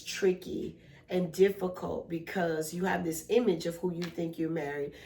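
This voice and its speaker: A woman at a moderate pace, fairly low-pitched and monotone with flat intonation, over noticeable background noise. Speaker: podcast co-host, mother and therapist. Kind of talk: casual family chat.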